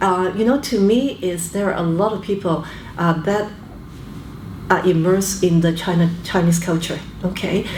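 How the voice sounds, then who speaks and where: A woman speaks at a moderate pace with fairly even intonation, leaving long, frequent pauses. The recording carries noticeable background noise and audible room echo. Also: medium pitch for a woman. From Canada, born in Hong Kong. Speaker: business executive. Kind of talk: interview. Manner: hesitant fillers, frequent okay.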